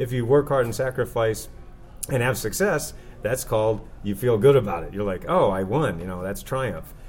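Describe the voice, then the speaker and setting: Over background music, a man at a medium pitch talks at a fairly quick pace with ordinary pitch variation. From Maine, New England. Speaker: author and success coach. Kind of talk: interview.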